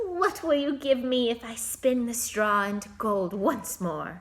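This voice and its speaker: A woman puts on a character voice at a high pitch. She goes at a fairly slow pace with very wide pitch swings. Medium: read story. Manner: sly, bargaining.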